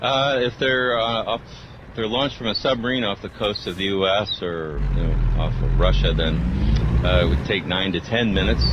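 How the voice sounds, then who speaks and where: A man with an American accent speaks at a moderate pace and a fairly low pitch. His intonation is lively, and noticeable background noise can be heard. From US Midwest, St. Louis County. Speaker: nuclear weapons expert. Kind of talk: radio interview.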